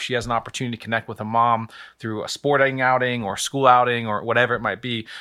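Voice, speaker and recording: A man talks at a very fast pace. His medium-pitched voice is monotone, with flat intonation. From Virginia, Lynchburg. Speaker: pastor. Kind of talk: podcast interview.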